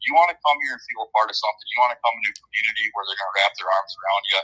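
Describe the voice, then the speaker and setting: A man with an Upper Midwest accent, in a dry, close sound with no echo. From Minnesota. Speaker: college hockey head coach. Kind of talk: interview answers, casual chat.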